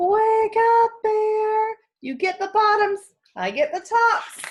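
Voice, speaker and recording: A woman uses a squeaky, put-on character voice at an extremely high pitch. She speaks at a very slow pace. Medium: read story. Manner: friendly, persuasive.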